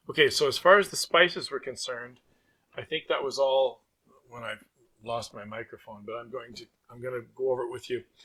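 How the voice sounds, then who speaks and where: Speaking at a fairly quick pace, a man leaves long, frequent pauses and shows big swings in loudness. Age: 60s. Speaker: butcher and cooking channel host. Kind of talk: voiceover tutorial. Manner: casual, hesitant with fillers.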